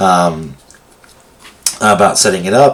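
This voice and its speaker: A man speaks with a fairly low pitch. Noticeable background noise runs behind him. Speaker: tech tutorial presenter. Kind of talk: tutorial. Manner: halting, many fillers.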